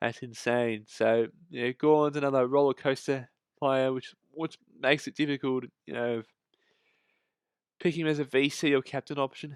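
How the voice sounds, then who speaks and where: A man with an Australian accent at a medium pitch, flat and monotone, in a dry, close sound with no echo. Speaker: fantasy football content creator. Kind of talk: casual commentary on fantasy team results. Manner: hesitant, many fillers.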